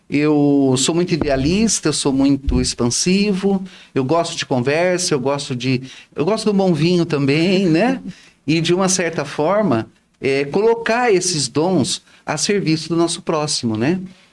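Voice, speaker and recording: Using a plain, everyday voice, a man with a fairly high pitch speaks at a fairly slow pace with lively intonation and very even loudness. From Brazil, Bauru (São Paulo state). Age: 60s. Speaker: retired teacher and social volunteer. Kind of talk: interview chat.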